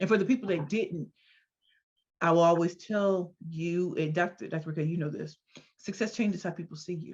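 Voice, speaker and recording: A woman talks in an animated tone, somewhat breathy and fairly low in pitch. Her pitch varies in an ordinary way. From US Midwest, St. Louis, Missouri. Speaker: entrepreneur and speaker. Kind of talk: interview. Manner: fast.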